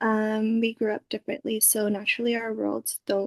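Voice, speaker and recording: A woman's fairly high-pitched voice at a fairly slow pace, in a dry, close sound with no echo. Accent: Canadian. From Canada (Filipino family). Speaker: interviewee. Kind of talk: interview. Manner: hesitant, many fillers.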